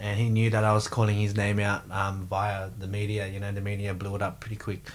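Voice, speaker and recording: A man speaks in an Australian accent at a fairly low pitch. His pace is fairly quick. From Australia, Sydney. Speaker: professional MMA fighter, world champion. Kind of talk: casual interview chat. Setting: studio.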